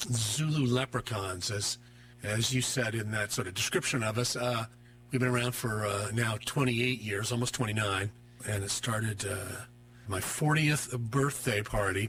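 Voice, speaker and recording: With music in the background, a man of medium pitch speaks at a moderate pace with fairly even intonation. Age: 60s. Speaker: musician and counselor. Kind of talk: radio interview. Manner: hesitant with many fillers.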